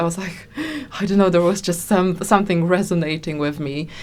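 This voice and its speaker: A woman's fairly low voice in a Polish accent, fairly even in intonation, against noticeable background noise. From Poland. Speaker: singer-songwriter. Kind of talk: interview. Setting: studio. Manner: halting.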